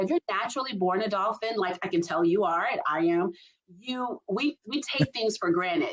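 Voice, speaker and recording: A woman with an American accent and a medium-pitched voice speaks at a moderate pace, her pitch swinging very widely. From US South, Albany, Georgia. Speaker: leadership strategist. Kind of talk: casual chat. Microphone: poor quality internet backup recording.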